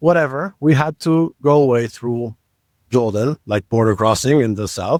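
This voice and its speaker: A medium-pitched man with an Israeli accent and ordinary pitch variation, recorded dry and close with no echo. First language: Hebrew. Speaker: podcast co-host. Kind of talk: casual chat.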